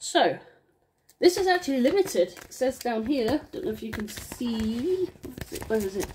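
A woman speaks at a moderate pace with very wide pitch swings. Light background noise can be heard. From England. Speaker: vinyl unboxing vlogger. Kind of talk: casual unboxing chat. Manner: rambling, excitable. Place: home room. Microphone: phone near.

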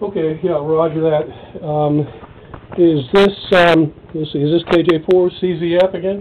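With light background noise behind him, a man speaks very slowly in a high pitch with monotone, flat intonation. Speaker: ham radio operator. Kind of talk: radio contact chat. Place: home room. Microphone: camera far.

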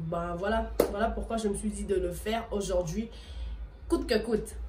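Music plays in the background. A woman speaks over it at a fairly slow pace. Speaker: video blogger. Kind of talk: casual vlog tutorial. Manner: casual, hesitant with fillers.

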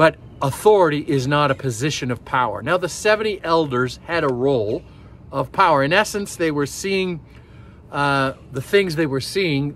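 A man speaks at a moderate pace with ordinary pitch variation. The sound is dry with no echo, over light background noise. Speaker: pastor. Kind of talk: sermon. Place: forest. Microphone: phone near.

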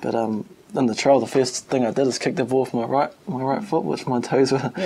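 A man with a New Zealand accent, ordinary pitch variation, and light background noise. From New Zealand, Wellington and Palmerston North. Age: young. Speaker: rugby player. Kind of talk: interview. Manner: hesitant, many fillers. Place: meeting room.

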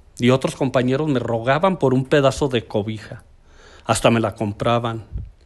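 Speaking at a fairly slow pace, a man with a Mexican accent shows ordinary pitch variation. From Aguascalientes, Mexico. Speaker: community promoter, storyteller.

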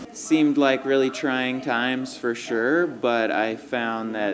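Against noticeable background noise, a man speaks at a fairly slow pace with fairly even intonation. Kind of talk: interview answer. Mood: relaxed, reflective. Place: cafe. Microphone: handheld.

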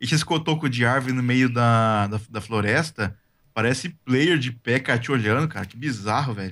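With an ordinary speaking voice, a man talks at a fairly slow pace and a medium pitch. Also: ordinary pitch variation, big swings in loudness, very clean recording, silent background. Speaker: gaming co-player. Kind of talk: casual chat while gaming.

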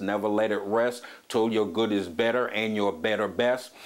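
A man delivers his words at a moderate pace. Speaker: preacher hosting a teaching program. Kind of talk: sermon. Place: home room. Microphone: lapel.

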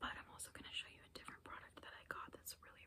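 A woman is whispering. Her voice stays at a whisper throughout. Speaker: beauty ASMR creator. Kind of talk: ASMR whisper ramble. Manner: whispered. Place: home room. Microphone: phone near.

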